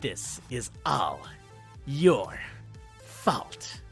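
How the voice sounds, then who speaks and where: Clear music can be heard behind the speaker. The voice is a put-on character voice. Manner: accusing, angry.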